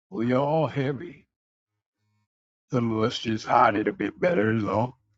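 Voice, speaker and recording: Put-on character voice from a man, gravelly, medium in pitch, at a fairly slow pace. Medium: audio drama. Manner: slow, seasoned, folksy.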